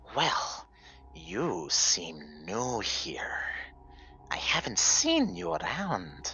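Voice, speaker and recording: A man's put-on character voice, very deep and low in pitch, delivered at a very slow pace over clear background noise. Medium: actual play. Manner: sly, giggly, teasing.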